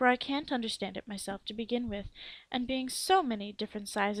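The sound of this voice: The voice reads aloud without strain. Its intonation rises and falls to a normal degree.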